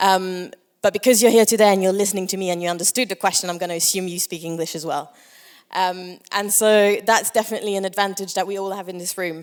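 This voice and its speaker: Her loudness swings widely as a woman speaks at a very fast pace. She keeps a medium pitch and fairly even intonation. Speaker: conference speaker for a language nonprofit. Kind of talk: conference talk. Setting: stage with audience.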